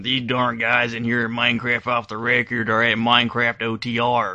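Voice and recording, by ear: Using a put-on character voice, a man speaks at a medium pitch and a moderate pace with monotone, flat intonation.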